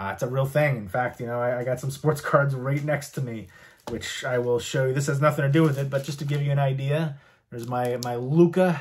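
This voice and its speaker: A man with an American accent speaks at a moderate pace, his voice somewhat breathy. His pitch shows ordinary variation. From US East Coast, partly Virginia. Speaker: YouTuber showing a movie and memorabilia collection; YouTuber showing a movie. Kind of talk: casual collection show-and-tell vlog. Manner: casual with frequent fillers. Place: home room.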